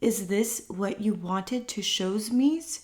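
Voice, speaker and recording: A woman speaks in a put-on character voice at a fairly high pitch. Her pace is fairly slow. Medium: read story.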